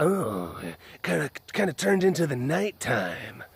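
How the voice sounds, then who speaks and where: This man puts on a character voice at a fairly high pitch. His pitch swings very widely. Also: moderate pace. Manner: creepy, suggestive.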